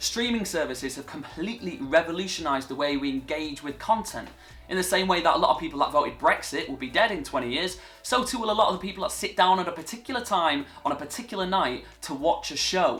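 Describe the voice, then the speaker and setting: A voice in a northern English accent races along at a very fast pace with very wide pitch swings, music playing in the background. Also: man, high pitch for a man. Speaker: TV presenter. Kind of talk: vlog monologue.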